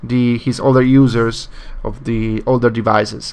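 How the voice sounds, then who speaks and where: This man speaks with a Spanish accent at a medium pitch. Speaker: tech video blogger. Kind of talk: casual product commentary. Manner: halting, many fillers.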